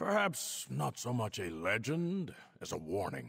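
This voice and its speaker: In a put-on character voice, a man speaks at a fairly low pitch. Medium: video game. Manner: warm, easygoing, laughing.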